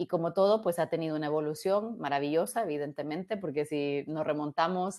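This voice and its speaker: A woman speaks at a moderate pace in a very deep, low pitch. Her pitch varies in an ordinary way over a quiet background. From Guatemala. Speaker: robotics engineer. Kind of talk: interview. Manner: halting, many repetitions. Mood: warm, enthusiastic. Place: home room. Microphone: earbuds.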